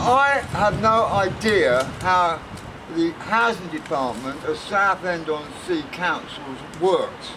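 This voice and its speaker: A man speaks at a high pitch and a very slow pace with lively intonation. Noticeable background noise runs behind him. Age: 60s. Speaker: homeless man. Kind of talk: interview answer. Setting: outdoors.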